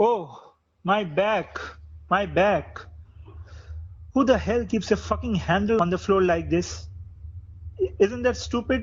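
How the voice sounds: Using a put-on character voice, a man talks slowly at a high pitch with ordinary pitch variation and a slightly husky edge.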